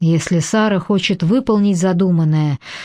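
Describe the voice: The reading aloud is plain, and the pitch rises and falls in an ordinary way.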